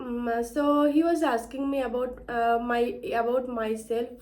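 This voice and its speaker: In a room with audible echo, a woman with a high pitch speaks very slowly in a monotone, flat intonation. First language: Bengali. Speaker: English learner vlogger. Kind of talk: personal story vlog. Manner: halting, many fillers and restarts.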